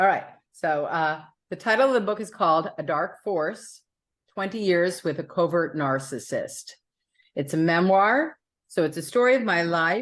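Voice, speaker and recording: A normal speaking voice with an American accent moves at a moderate pace with lively intonation. The background is quiet. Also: woman, fairly low pitch for a woman. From New York City. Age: 60s. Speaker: author. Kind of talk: interview.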